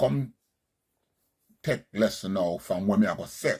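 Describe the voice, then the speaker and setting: A man speaks with a Jamaican accent at a fairly slow pace. His pitch swings very widely. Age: 60s. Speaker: Rastafarian commentator. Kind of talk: monologue commentary.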